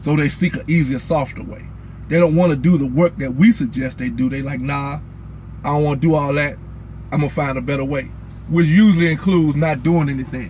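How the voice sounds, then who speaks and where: Over noticeable background noise, a man speaks at a fairly quick pace with a fairly high pitch and fairly even intonation. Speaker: vlogger sharing life lessons. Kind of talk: motivational monologue. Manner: passionate, gets louder when misunderstood.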